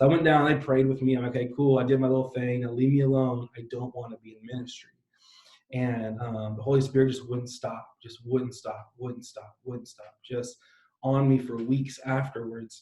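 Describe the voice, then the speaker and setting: With an American accent, a man speaks in a dark, mellow tone that is somewhat breathy. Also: medium pitch for a man, moderate pace. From San Diego, California. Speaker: pastor. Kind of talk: interview. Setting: live stream. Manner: animated.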